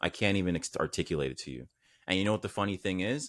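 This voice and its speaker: Very fast and very deep, a man with a Canadian accent and vocal fry speaks in a dry, close sound with no echo. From Canada, Saint Vincent family. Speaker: entrepreneur, mental health brand founder. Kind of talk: casual interview chat.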